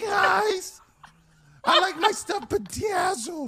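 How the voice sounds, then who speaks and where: A put-on character voice at an extremely high pitch drawls along at a very slow pace. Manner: cartoonish.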